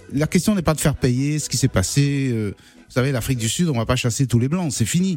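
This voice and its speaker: Speaking at a fairly quick pace with hardly any pauses, a man uses a medium-pitched, somewhat breathy voice and lively intonation. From Cameroon. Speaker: singer-songwriter. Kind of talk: radio interview. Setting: radio studio.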